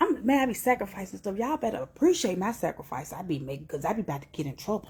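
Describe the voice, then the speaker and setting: Whispering very fast and somewhat breathily, a woman lets her loudness swing widely. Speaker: motivational livestreamer. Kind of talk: inspirational livestream talk.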